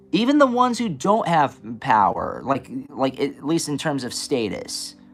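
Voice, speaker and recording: A man's animated, fairly high-pitched voice at a moderate pace, with music in the background. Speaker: spiritual reader streamer. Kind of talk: casual live stream talk. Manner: halting, many restarts.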